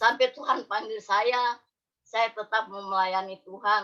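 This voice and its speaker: Speaking very slowly, a woman uses a monotone, flat intonation. Her voice sits fairly high in pitch and has a bright, sharp tone. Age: 60s. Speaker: church member. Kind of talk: testimony. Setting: video call.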